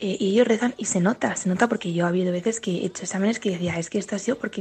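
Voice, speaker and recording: A somewhat breathy woman at a medium pitch, talking at a very fast pace with ordinary pitch variation. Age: 20s. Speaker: university student. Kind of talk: testimony.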